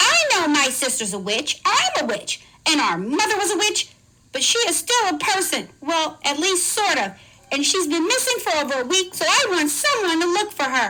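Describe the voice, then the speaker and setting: A put-on character voice, female-sounding, at an extremely high pitch with very wide pitch swings and a moderate pace. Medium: read story.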